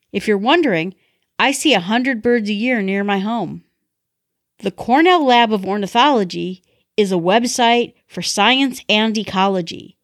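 A woman speaks at a moderate pace with an American accent. Her pitch is fairly high, and she has an unremarkable speaking voice. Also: lively intonation. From North Woods region, US upper Midwest. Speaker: listener contributor. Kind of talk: recorded review.

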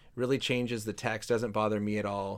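Talking at a fairly quick pace, a man has an unremarkable speaking voice and medium pitch. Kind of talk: interview discussion on Bible. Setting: online livestream with audience.

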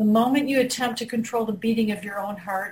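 A woman speaks in a somewhat breathy voice. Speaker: person in recovery. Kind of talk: group discussion.

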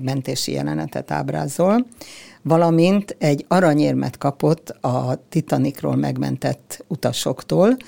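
A woman speaks at a fairly slow pace with a dry, close sound and no echo. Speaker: granddaughter of a ship's doctor. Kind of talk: interview.

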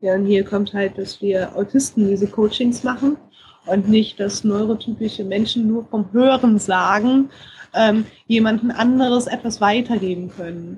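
A woman's fairly high, somewhat breathy voice with fairly even intonation at a moderate pace. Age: 30s. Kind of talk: interview.

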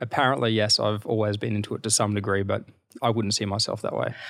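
On a very clean recording with a silent background, a man with an Australian accent speaks at medium pitch in a flat monotone. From Queensland, Australia (rural). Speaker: fashion brand founder and CEO. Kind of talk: interview. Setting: hotel suite.

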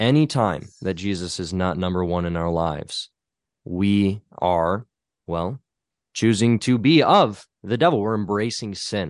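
With a quiet background, a man speaks in an ordinary speaking voice at a fairly slow pace. His pitch is fairly low with ordinary variation. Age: 20s. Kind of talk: casual chat.

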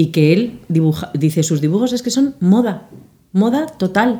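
A woman with a fairly high pitch and very wide pitch swings speaks slowly-ish, her dark, mellow tone somewhat breathy, at a fairly slow pace. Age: 50s. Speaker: bridal fashion designer. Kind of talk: casual chat.

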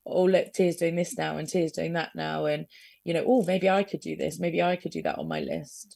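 Recorded very cleanly against a silent background, a woman talks with an English accent. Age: 30s. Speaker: guest with rare illnesses, podcaster. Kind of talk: radio interview. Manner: halting.

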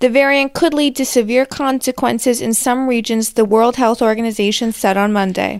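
In a very clean recording with a silent background, a woman with a fairly high pitch and an unremarkable speaking voice talks with fairly even intonation and hardly any pauses. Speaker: political news correspondent. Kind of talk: news report reading.

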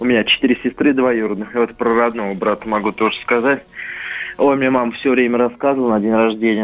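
Noticeable background noise runs under this recording. A man speaks at a medium pitch with monotone, flat intonation. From Samara, Russia.

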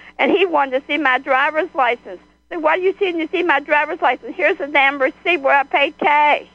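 Talking at a fairly quick pace, a woman speaks with a high pitch. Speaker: caller. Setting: phone call. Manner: loud, boisterous.

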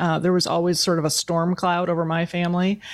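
A woman of medium pitch talks at a fairly quick pace. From US Midwest, Wisconsin. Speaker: futurist and consultant. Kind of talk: interview conversation.

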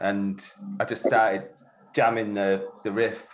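Very slowly, a man speaks in a fairly low pitch. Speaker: guitarist in a band. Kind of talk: casual interview.

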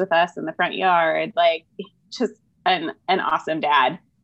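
A woman speaks at a fairly low pitch with fairly even intonation and a fairly slow pace. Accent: American. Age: 30s. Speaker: mother sharing grief story. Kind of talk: personal testimony in interview. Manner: halting, many fillers.

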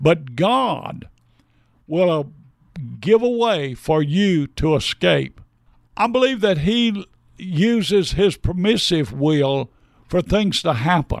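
With an American accent, a man speaks at a very slow pace with long, frequent pauses. His pitch is high and his intonation lively, on a very clean recording with a silent background. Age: 80s+. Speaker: pastor. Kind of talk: interview, preaching style.

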